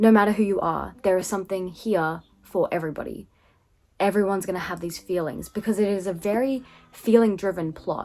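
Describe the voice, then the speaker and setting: Speaking at a fairly quick pace, a woman with an Australian accent keeps a medium pitch and fairly even intonation. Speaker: book reviewer. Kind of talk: casual book review. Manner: conversational, many fillers.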